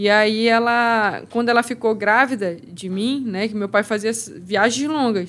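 Fairly even intonation runs through a woman's fairly high voice. She speaks at a fairly slow pace. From Amazonas, Brazil. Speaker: MMA fighter; guest. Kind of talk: casual chat. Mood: reflective storytelling. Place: studio. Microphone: studio mic.

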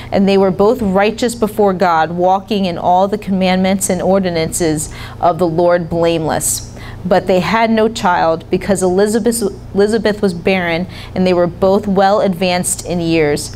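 Over light background noise, a woman talks at a moderate pace with very even loudness and fairly even intonation. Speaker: speaker. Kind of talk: sermon scripture reading. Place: church. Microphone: handheld.

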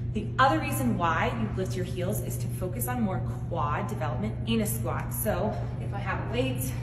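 Loud background noise fills the clip while the talking keeps a moderate pace. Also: woman. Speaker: fitness coach. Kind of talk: tutorial. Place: gym. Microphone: camera far.

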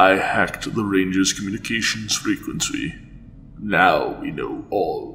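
A man performs a put-on character voice. Background noise is clearly audible. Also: fairly slow pace. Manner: eager, servile.

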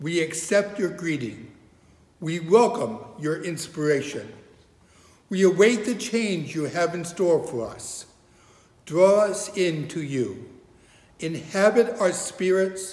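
Strong room echo fills the recording of a slightly mellow voice. The pace is slow, and the pitch swings are big. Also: man, fairly high pitch for a man.

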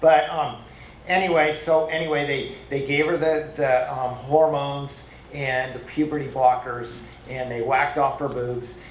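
Noticeable background noise and audible room echo surround a man's voice. He speaks at a fairly slow pace with a fairly high pitch. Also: fairly even intonation. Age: old. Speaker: retired medical worker, public commenter. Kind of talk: public comment at school board meeting. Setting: board meeting in a public hall. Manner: halting, with many fillers.

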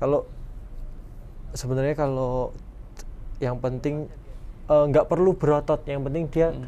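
A man with a fairly high pitch and a dark, mellow tone talks at a moderate pace. His intonation is monotone and flat, with long, frequent pauses. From Central Java. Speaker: professional basketball player; guest. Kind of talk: casual interview. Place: studio.

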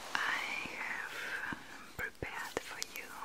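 A woman whispers in a soft-spoken way. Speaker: roleplay host. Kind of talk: soft-spoken ASMR roleplay. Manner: slow soft ASMR whisper. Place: home room.

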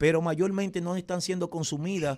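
Talking at a fairly quick pace, a man with a fairly high pitch shows ordinary pitch variation. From Dominican Republic. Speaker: radio and TV host specializing in typical music; radio, TV host specializing in typical music. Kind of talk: casual interview. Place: studio. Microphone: studio mic.

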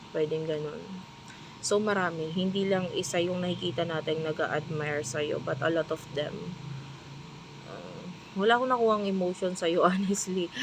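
Soft-spoken, a woman talks at a moderate pace and fairly low pitch with ordinary pitch variation. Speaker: tarot reader. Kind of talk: tarot reading. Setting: restaurant staff room.

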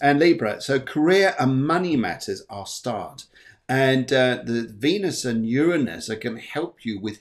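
Lively intonation marks this man's speech. He talks at a moderate pace with a medium pitch.

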